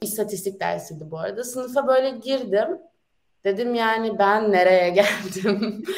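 A woman talks at a fairly high pitch and a fairly slow pace. Audible room echo surrounds her voice. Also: ordinary pitch variation. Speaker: university student. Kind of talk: casual interview. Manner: animated.

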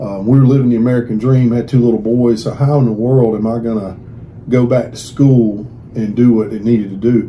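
Audible room echo carries a man's medium-pitched voice in a Southern US accent, delivered with monotone, flat intonation. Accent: Southern US (Georgia). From US South (Georgia). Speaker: pastor. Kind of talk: interview.

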